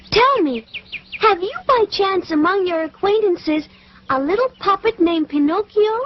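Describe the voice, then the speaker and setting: A female-sounding cartoonish character voice, pitched extremely high, speaks at a moderate pace. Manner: gentle, warm.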